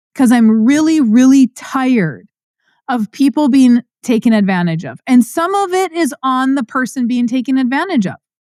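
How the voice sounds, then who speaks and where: Loud and lively in intonation, a woman speaks at a moderate pace in a high pitch with a dark, mellow tone, in a very clean recording with a silent background and a dry, close sound with no echo. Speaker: podcast host and farm finance educator. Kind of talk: passionate monologue. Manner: pitch rises when passionate.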